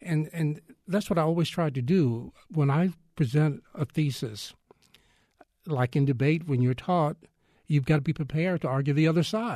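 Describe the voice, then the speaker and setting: Against a quiet background, a man with a fairly high pitch and dark, mellow tone speaks somewhat breathily with ordinary pitch variation. His loudness stays very even, broken by long, frequent pauses. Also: moderate pace. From Texas, Fort Worth. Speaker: retired newspaper columnist and journalist. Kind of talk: interview.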